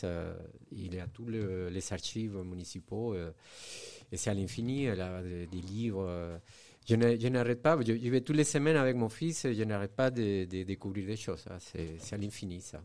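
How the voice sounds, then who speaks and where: With a very clean recording and silent background, a man speaks at a moderate pace, fairly low in pitch with ordinary variation. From Venezuela. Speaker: architect and illustrator. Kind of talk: radio interview. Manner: halting.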